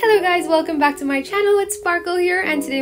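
Music plays in the background as a woman speaks. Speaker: art channel host. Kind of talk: casual vlog chat narration.

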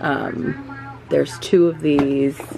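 Over music in the background, a woman speaks very slowly in a very deep, low pitch with monotone, flat intonation. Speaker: home organizing vlogger. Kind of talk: casual vlog chat. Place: home room. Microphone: phone near.

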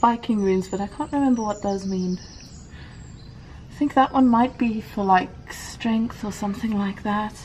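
Over light background noise, a woman speaks at a moderate pace in a somewhat breathy voice with fairly even intonation. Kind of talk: casual vlog chat. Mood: curious, delighted. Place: open country.

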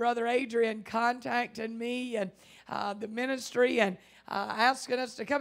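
Speaking at a moderate pace, a woman uses a high pitch with ordinary pitch variation. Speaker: guest preacher. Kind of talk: sermon. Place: church. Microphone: handheld.

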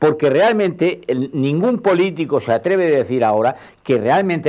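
The background stays quiet. Words come at a fairly quick pace. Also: man. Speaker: retired civil servant, panelist; talk show guest. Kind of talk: televised panel discussion. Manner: halting. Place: studio. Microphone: lapel.

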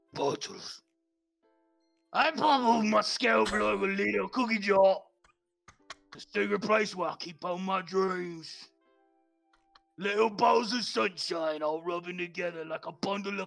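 A put-on character voice moves at a fairly slow pace with long, frequent pauses over faint music in the background. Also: man, high pitch for a man.

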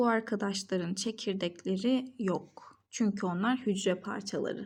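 Somewhat breathy and with lively intonation, a woman talks at a fairly slow pace on a very clean recording with a silent background. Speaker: biology tutor. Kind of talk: educational lesson narration.

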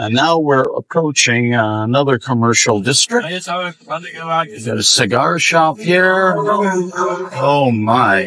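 A man's very slow speech with very wide pitch swings, a dry sound with no echo, and light background noise. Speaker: travel vlogger. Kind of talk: casual vlog chat. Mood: cheerful, upbeat. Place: bus. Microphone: lapel.

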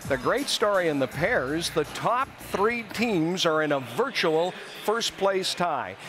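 Clear music plays behind a man who speaks at a high pitch and a fairly slow pace. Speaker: TV sports host. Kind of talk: broadcast anchor presentation. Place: stadium. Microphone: lapel.

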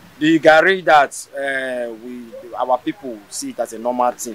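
A man with a Nigerian accent speaks with ordinary pitch variation in a dry recording that has no echo. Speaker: local resident. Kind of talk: street interview. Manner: halting. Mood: complaining about high prices. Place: market. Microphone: handheld.

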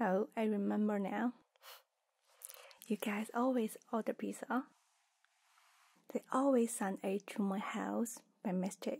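Soft-spoken and somewhat breathy, a woman talks at a fairly slow pace with fairly even intonation and long, frequent pauses, over a quiet background. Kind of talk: roleplay, soft spoken to viewer. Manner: soft, intimate ASMR murmur. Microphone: studio mic.

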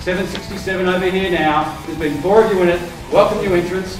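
Over clear music in the background and audible room echo, a man talks at a very fast pace. His high voice keeps a fairly even intonation. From Australia. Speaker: real estate auctioneer. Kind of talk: property auction call. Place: hall.

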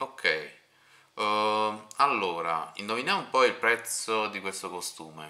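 At a very slow pace, a man talks with ordinary pitch variation and big swings in loudness. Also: fairly low pitch for a man. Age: 30s. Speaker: interviewer and streamer. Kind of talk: casual interview.

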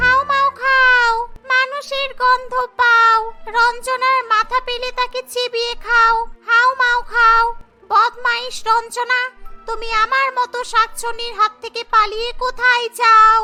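Over faint background music, a woman does a put-on character voice at an extremely high pitch, delivered in a flat monotone at a fairly slow pace. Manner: menacing, spooky.

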